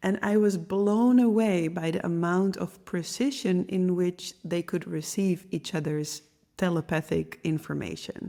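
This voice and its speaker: Over a very clean recording with a silent background, a woman with a medium-pitched, dark, mellow tone speaks fairly slowly with fairly even intonation. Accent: Dutch. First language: Dutch. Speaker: podcast host, medium and intuition teacher. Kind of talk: podcast monologue.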